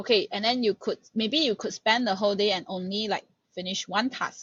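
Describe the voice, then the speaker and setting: A woman of medium pitch, somewhat breathy, at a fairly quick pace with ordinary pitch variation. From Malaysia. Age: 20s. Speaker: master's student and research assistant. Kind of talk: podcast interview.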